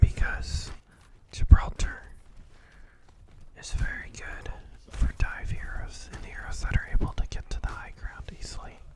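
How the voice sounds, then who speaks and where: A whispering man at a fairly slow pace, with long, frequent pauses and big swings in loudness, amid noticeable background noise. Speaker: ASMR gaming content creator. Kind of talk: whispered gameplay commentary. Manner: whispered, soft-spoken.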